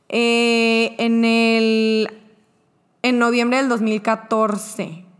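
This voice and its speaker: A woman's voice with fairly high pitch. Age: 20s. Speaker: guest sharing personal testimony. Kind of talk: testimony.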